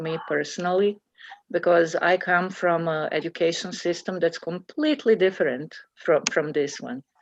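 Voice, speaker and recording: A woman speaks with a non-native accent. Her pitch is fairly low, and her pace is moderate. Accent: foreign. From Bosnia and Herzegovina (former Yugoslavia). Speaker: committee member presenting to school board. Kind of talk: public meeting discussion. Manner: halting, many fillers.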